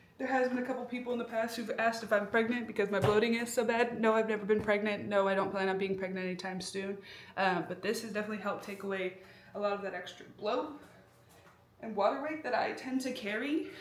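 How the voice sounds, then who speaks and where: Over noticeable background noise and audible room echo, a woman with an American accent talks very fast at a fairly high pitch. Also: ordinary pitch variation. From US Midwest. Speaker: vlogger and nurse. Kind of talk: casual vlog.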